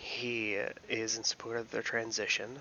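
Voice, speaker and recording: There is noticeable background noise as a man talks with an American accent. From US, Philadelphia. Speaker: YouTube commentator. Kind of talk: casual commentary.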